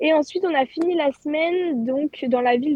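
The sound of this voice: Recorded dry and close with no echo, a woman speaks at a high pitch and a moderate pace, with a slightly mellow tone and ordinary pitch variation.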